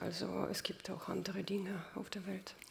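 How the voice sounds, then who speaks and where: A woman is speaking. Her pace is fairly slow. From Ukraine (Kyiv), Soviet Union. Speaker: writer; guest. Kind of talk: panel discussion. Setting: stage with audience. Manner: halting, many fillers. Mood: thoughtful, reflective. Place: hall.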